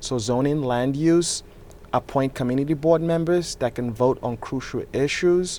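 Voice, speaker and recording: The speaker is a man with a Nigerian accent. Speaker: political candidate and real estate developer. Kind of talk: interview.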